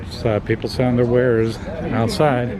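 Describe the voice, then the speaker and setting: A man with a Texas accent talks at a moderate pace and medium pitch. Noticeable background noise runs underneath. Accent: full Texas accent, soft T's. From Texas, northwest Dallas. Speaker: vlogger. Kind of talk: casual walk-around vlog commentary. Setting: outdoors at a ham radio expo. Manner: whispering at times.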